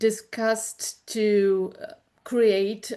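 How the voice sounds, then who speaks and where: A woman with a German accent and a dark, mellow tone speaks over a quiet background. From Germany. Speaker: information specialist, department head. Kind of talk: webinar presentation. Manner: halting, many fillers.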